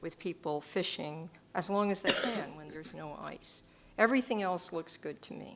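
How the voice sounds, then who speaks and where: A woman with a fairly low pitch and vocal fry speaks at a moderate pace, with ordinary pitch variation and big swings in loudness. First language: not English. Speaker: selectboard member. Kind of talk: public meeting discussion.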